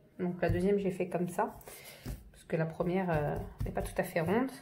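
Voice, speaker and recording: Somewhat breathy and dark, mellow in tone, a woman talks at a fairly quick pace and medium pitch. Her intonation is fairly even, and there is audible room echo. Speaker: home cook. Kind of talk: tutorial. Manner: halting, many fillers.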